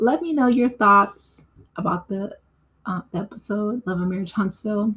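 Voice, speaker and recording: Here is a woman speaking. Her voice is somewhat breathy. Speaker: TV recap youtuber. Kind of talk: casual commentary. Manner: hesitant fillers.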